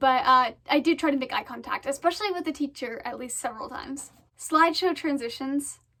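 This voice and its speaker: A woman with an American accent speaks in a high, raised, projected voice at a fairly quick pace. Her pitch variation is ordinary, while her loudness swings widely. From Maine, US. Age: young. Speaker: student vlogger. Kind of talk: casual tutorial. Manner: fast; hesitant, many fillers. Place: home room. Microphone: phone near.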